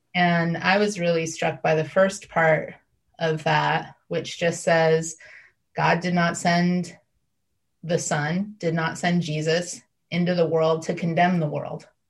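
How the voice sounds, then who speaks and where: Somewhat breathy, a woman speaks at a very slow pace and a fairly low pitch. Her intonation is monotone and flat. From US Midwest, Northeast Ohio. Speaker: faith contributor. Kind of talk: casual faith conversation.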